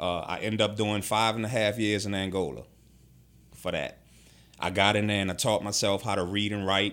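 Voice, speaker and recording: With a New Orleans accent, the speaker keeps a fairly even intonation. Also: man, fairly low pitch for a man, moderate pace. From New Orleans, Ninth Ward. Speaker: formerly incarcerated man, security worker. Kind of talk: interview, life story.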